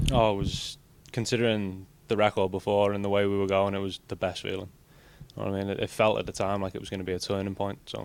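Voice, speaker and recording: A man speaks at a very fast pace in an English accent. His pitch is fairly low and his intonation is monotone and flat. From England. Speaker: college soccer player. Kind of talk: interview.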